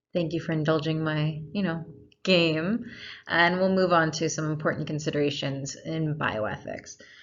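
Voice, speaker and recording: A woman's very deep, low voice at a moderate pace with fairly even intonation and audible room echo. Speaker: lecturer. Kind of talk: lecture.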